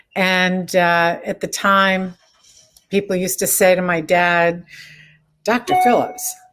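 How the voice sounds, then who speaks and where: With an American accent, a woman speaks at a very slow pace with long, frequent pauses, a medium pitch and fairly even intonation. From Florida (Miami, then Orlando). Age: 60s. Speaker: real estate broker. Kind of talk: interview. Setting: video call.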